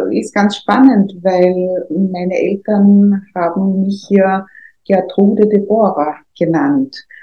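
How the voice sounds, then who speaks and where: The voice is somewhat breathy and moves at a very slow pace. Its pitch varies in an ordinary way. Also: woman. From Austria, Vienna. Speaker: trade union official. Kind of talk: interview. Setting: studio.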